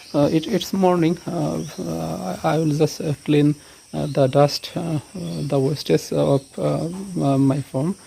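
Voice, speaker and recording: A man speaks at a fairly slow pace in a Bengali accent. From Bangladesh. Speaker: cattle farmer. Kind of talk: casual vlog tour. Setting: farm, cowshed. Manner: halting, many fillers.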